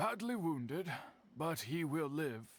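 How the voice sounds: A man puts on a character voice, speaking at a slow pace with big pitch swings and a fairly high pitch.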